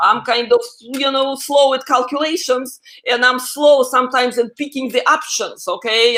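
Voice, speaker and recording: A woman speaks with a Russian accent at a high pitch. Her pitch varies in an ordinary way. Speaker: AI expert guest. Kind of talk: interview.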